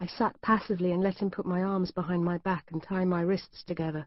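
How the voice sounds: This is a natural reading voice. The words are read aloud naturally.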